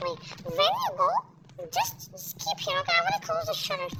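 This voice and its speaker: A fairly quick pace over loud background noise. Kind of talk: casual let's-play commentary. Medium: game stream. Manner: teasing, chatty, playful.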